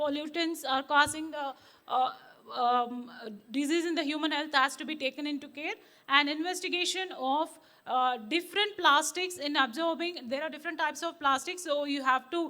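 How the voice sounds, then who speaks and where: Projecting her raised voice at a moderate pace, a woman speaks with a high pitch, ordinary pitch variation and a bright, sharp tone. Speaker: cytogeneticist, conference speaker. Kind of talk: conference talk. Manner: hesitant, many fillers.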